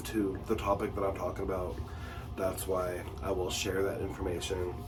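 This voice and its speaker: A man with a fairly low pitch speaks at a moderate pace amid audible room echo and music in the background. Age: 40s. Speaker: lifestyle vlogger. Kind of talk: personal vlog monologue. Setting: home bathroom. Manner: halting, many fillers.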